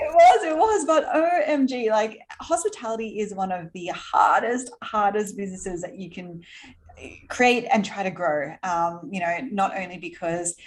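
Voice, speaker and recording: With an Australian accent, a woman talks at a moderate pace, her fairly high voice swinging very widely in pitch. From Australia, Sydney. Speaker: entrepreneur. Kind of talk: interview.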